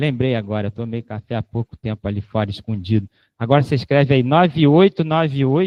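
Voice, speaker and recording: A man with a medium pitch talks at a fairly quick pace, his intonation lively. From Rio de Janeiro, Brazil. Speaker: invited lecturer. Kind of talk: lecture Q&A. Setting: auditorium with live audience and online stream. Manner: casual, joking.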